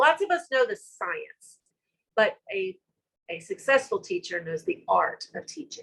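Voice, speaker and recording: Speaking at a fairly slow pace with a Southern US accent, a woman's voice shows big swings in loudness. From US South. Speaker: school director. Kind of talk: conference talk. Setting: virtual summit session.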